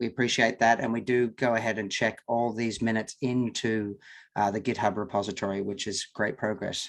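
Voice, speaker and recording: A man speaks with an Australian accent. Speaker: working group chair. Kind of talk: online meeting.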